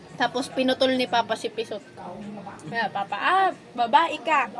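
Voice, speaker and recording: A woman with a high pitch and lively intonation at a moderate pace, against noticeable background noise. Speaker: vlogger. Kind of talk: casual chat.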